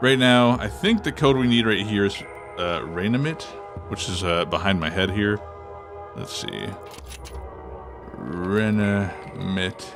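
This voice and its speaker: A man's fairly low, very slow delivery, lively in intonation and full of long, frequent pauses, with music in the background. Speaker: vtuber. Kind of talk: gameplay commentary.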